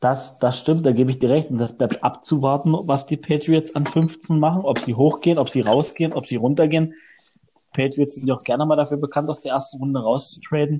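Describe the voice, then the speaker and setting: Somewhat breathy and dark, mellow in tone, this voice goes at a fairly quick pace with fairly even intonation. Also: man, fairly high pitch for a man. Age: 20s. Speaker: podcast co-host. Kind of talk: casual chat.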